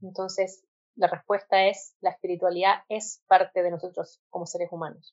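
A woman's monotone, flat intonation with big swings in loudness. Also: medium pitch for a woman, moderate pace. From Chile. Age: 20s. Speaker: physician turned holistic health practitioner. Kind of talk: interview conversation.

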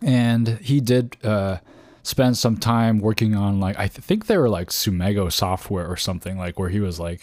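At a moderate pace, a man speaks in an unremarkable speaking voice with ordinary pitch variation. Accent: Canadian. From Canada. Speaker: podcast host. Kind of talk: solo podcast monologue.

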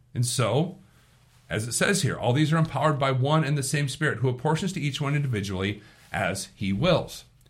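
Somewhat breathy, the voice rises and falls with lively intonation. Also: man, fairly high pitch for a man. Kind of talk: devotional commentary. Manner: informal.

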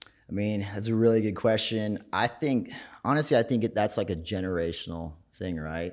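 Against a silent background in a very clean recording, a man with an American accent and an ordinary speaking voice talks at a moderate pace with ordinary pitch variation. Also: fairly low pitch for a man. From Minnesota, small farm town. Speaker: business founder. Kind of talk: interview. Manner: casual.

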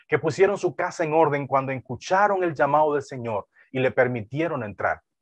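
A plain, everyday voice with lively intonation at a moderate pace, dry, close sound with no echo, and a quiet background. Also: man. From Dominican Republic, deep south (Neiba lake region). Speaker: pastor. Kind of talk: sermon.

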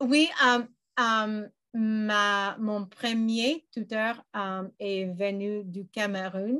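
Over a silent background in a very clean recording, a woman with an English accent speaks very slowly in a bright, sharp tone, her pitch fairly high with ordinary variation. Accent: English-speaking learner accent in French. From western Canada, British Columbia. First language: English (speaking French). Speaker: language learner. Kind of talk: interview. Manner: halting, many fillers.

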